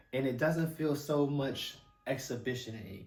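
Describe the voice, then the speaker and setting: There is noticeable background noise and audible room echo as a man speaks at a medium pitch with ordinary pitch variation. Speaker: movie reviewer. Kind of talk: casual monologue review. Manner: fast; stammering, repetitive.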